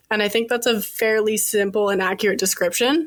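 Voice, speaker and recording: Noticeable background noise surrounds a woman who speaks at a moderate pace with a fairly high pitch. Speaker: podcast co-host. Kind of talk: informal presentation.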